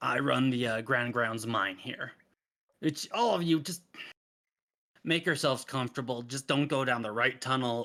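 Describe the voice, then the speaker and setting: A raspy put-on character voice moves at a moderate pace with ordinary pitch variation and long, frequent pauses. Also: man, medium pitch for a man. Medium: actual play. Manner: gruff, blunt.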